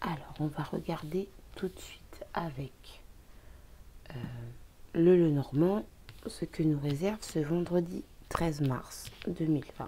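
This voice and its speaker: Soft-spoken, the voice moves at a very slow pace with long, frequent pauses. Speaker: tarot card reader. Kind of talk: card reading.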